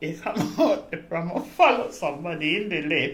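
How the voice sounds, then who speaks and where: In audible room echo, a woman with a fairly low pitch speaks at a fairly slow pace. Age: 80s+. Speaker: retired care worker. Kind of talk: oral history interview.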